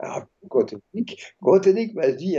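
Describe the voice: Dark and mellow with a slightly husky edge, a man's fairly high voice moves at a moderate pace.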